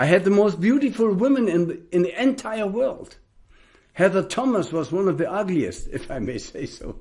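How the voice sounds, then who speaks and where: At a moderate pace, a man with a German accent speaks in a high pitch. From Germany. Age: 70s. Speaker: spiritual teacher. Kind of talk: spiritual talk.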